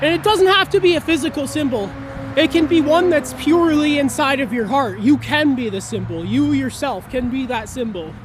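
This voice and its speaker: The voice is loud and moves at a moderate pace. Noticeable background noise runs behind it. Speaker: video blogger. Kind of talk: educational monologue. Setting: outdoors near a road.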